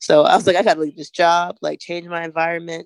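The speaker talks at a very fast pace. The recording is very clean, with a silent background. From Atlanta. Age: 20s. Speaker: playwright. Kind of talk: casual chat.

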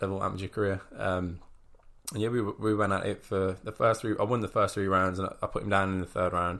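Here is a man with an English accent and a fairly low pitch. He talks at a very fast pace. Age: 20s. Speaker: professional boxer. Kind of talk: interview. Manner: halting.

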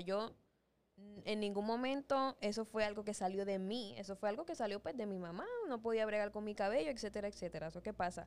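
Her pitch sits in the medium range for a woman and varies in an ordinary way. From Dominican Republic. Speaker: podcast co-host. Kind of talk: casual chat. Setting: studio.

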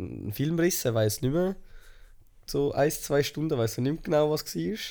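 On a very clean recording with a silent background, a man speaks with a dark, mellow tone and lively intonation. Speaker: podcast co-host. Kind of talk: casual chat.

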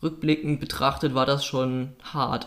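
Monotone, flat intonation marks this man's fairly high-pitched voice, delivered at a moderate pace. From North Rhine-Westphalia, Oberbergischer Kreis. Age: 20s. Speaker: podcast co-host. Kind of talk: casual chat.

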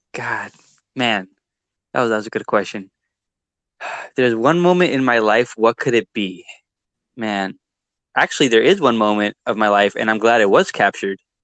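In a dry, close sound with no echo, a man of medium pitch speaks at a moderate pace with ordinary pitch variation and long, frequent pauses. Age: 20s. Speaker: videographer and entrepreneur. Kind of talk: casual interview chat.

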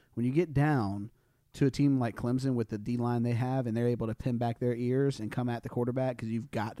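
With a Southern US accent, a man speaks at a fairly quick pace in a dark, mellow tone. His intonation stays fairly even. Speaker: podcast co-host.

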